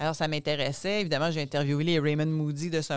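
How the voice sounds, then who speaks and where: In a very clean recording with a silent background, a woman speaks at a very deep, low pitch with monotone, flat intonation. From Quebec, Gaspésie. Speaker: author and speaker, former journalist. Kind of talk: casual interview.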